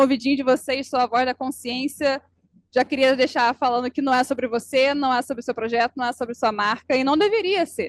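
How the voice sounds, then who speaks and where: Her high pitch moves with ordinary pitch variation as a woman speaks at a fairly quick pace, in a dry, close sound with no echo. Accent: Rio de Janeiro. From Brazil, Rio de Janeiro. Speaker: advertising professional, conference speaker. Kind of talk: conference talk.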